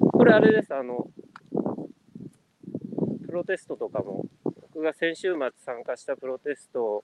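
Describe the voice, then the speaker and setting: A man speaks at a very slow pace, his pitch fairly high. His pitch swings very widely. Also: big swings in loudness. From Japan, Kanagawa. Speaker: business consultant. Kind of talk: casual interview chat. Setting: online live stream.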